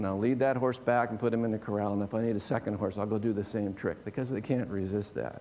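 Delivered at a very fast pace with hardly any pauses, the speech keeps a fairly even intonation. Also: man, fairly low pitch for a man. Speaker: pastor. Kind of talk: sermon.

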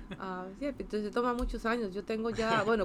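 Vocal fry in a woman's medium-pitched speech, delivered at a moderate pace. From Costa Rica, San José. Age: 50s. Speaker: space agency science director. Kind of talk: interview.

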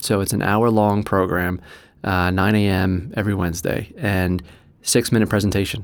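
A man with an American accent speaks at a moderate pace in a fairly low, monotone, flat voice, recorded very cleanly against a silent background. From New Jersey. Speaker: entrepreneur. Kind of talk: interview. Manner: hesitant, many fillers.

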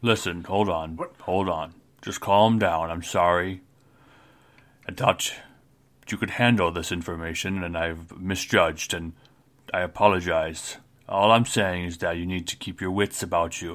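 Putting on a character voice, a man speaks very deep and low. He moves at a moderate pace but leaves long, frequent pauses. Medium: actual play. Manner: curt, few words, blunt.

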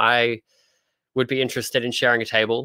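In a dry, close recording with no echo, very clean with a silent background, a man with an Australian accent speaks very fast in a bright, sharp tone with monotone, flat intonation. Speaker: comic artist. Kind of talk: casual interview chat.

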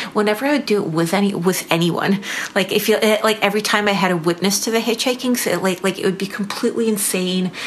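Over noticeable background noise, a woman talks at a very fast pace with a medium pitch, fairly even intonation and very even loudness. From Belarus. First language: Russian. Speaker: painter. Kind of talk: casual interview chat. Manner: halting, many fillers.

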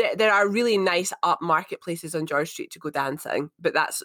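With an Edinburgh accent, a woman speaks at a fairly low pitch. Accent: Scottish (Edinburgh). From Edinburgh, Scotland. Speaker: co-host, fitness instructor. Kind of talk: casual chat.

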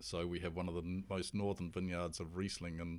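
A man with a New Zealand accent talks in a very deep, low pitch. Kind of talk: casual interview chat.

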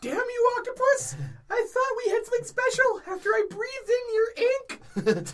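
An extremely high, squeaky put-on character voice in a dramatic tone at a moderate pace. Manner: indignant, dramatic.

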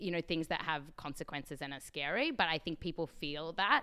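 A woman with an Australian accent, fairly low in pitch, at a fairly quick pace. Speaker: science podcast host. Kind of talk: interview.

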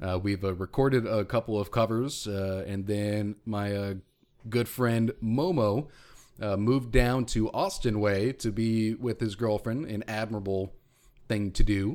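The delivery has fairly even intonation at a fairly slow pace. It is an unremarkable speaking voice. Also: man, fairly low pitch for a man. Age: 30s. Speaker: podcast host. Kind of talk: casual banter.

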